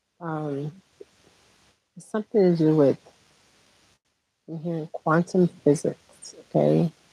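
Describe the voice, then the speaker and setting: Quiet and dry, with a close sound and no echo, a woman speaks at a very slow pace in a very deep, low pitch and a dark, mellow tone. Her intonation stays fairly even, her loudness swings widely, and she pauses long and often. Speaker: spiritual healer. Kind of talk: spiritual monologue livestream. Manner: quiet, talking low; halting with fillers.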